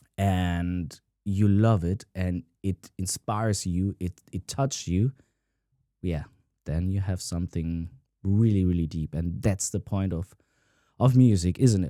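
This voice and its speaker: A man with a non-native accent and very deep, low pitch, a dark, mellow tone, ordinary pitch variation, a fairly slow pace with long, frequent pauses, and a dry, close sound with no echo on a very clean recording against a silent background. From Italian-American. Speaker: guitarist. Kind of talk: casual talk to camera.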